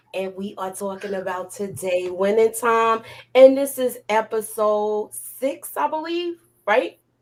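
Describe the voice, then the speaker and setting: Speaking with a New York accent, a woman has a fairly high pitch, an animated tone and ordinary pitch variation at a fairly slow pace. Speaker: YouTube TV show reviewer. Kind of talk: live discussion.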